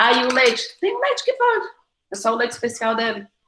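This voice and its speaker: Very fast and animated, a woman talks in a bright, sharp tone. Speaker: nutritionist. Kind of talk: online talk Q&A.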